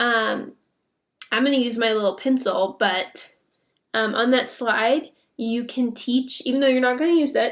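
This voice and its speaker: With ordinary pitch variation, the voice moves along at a moderate pace. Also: woman. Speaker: online English teacher and coach. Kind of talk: tutorial. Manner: casual with frequent fillers.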